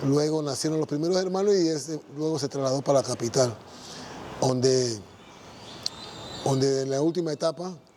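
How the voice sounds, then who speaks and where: Noticeable background noise sits behind a man with a fairly high pitch and ordinary pitch variation. He talks at a moderate pace, leaving long pauses often. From Panama, Panama City. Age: 60s. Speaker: church member giving testimony. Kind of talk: testimony. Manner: halting, with false starts and repetitions.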